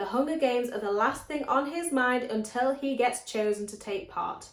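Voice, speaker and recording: A woman with an English accent, high-pitched and lively in intonation, at a moderate pace over noticeable background noise. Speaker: book vlogger. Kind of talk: casual vlog.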